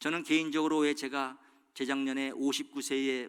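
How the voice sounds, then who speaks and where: This is a man speaking. His pitch is fairly high. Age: 60s. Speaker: pastor. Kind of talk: sermon.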